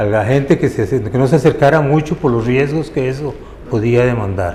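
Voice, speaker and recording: A man at a medium pitch with ordinary pitch variation, at a fairly slow pace over noticeable background noise. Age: 70s. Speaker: former Red Cross volunteer. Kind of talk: testimony.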